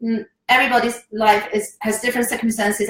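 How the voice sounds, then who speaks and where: A woman talks with a Chinese accent. Her pace is very fast. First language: Mandarin Chinese. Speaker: online marketing coach. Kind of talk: live stream talk. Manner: halting, with fillers.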